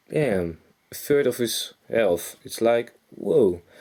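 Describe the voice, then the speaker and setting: A man speaks with a Dutch accent. His tone is dark and mellow. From Netherlands. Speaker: gaming youtuber. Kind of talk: game commentary. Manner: casual, halting with self-corrections.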